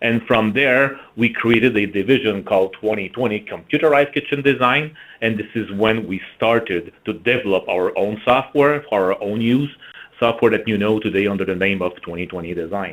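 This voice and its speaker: A man speaks at a moderate pace in a fairly low pitch. His pitch varies in an ordinary way. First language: French. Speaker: marketing executive. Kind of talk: webinar presentation.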